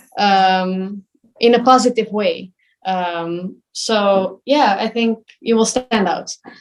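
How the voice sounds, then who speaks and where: In a non-native accent, a woman with fairly high pitch speaks at a very slow pace, her intonation fairly even. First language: not English. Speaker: professional ballet dancer. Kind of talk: interview. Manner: hesitant, many fillers.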